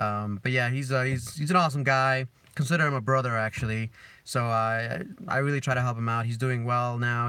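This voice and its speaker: A man with a slight Spanish accent speaks in a medium pitch and a bright, sharp tone. The recording is very clean, with a silent background. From Dominican Republic. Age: 30s. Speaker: car vlogger. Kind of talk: live stream chat.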